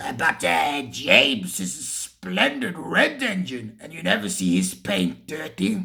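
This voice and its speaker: A raspy, put-on character voice sits at a low-to-middle pitch. It moves at a fairly slow pace with hardly any pauses. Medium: read story. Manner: mild, hesitant.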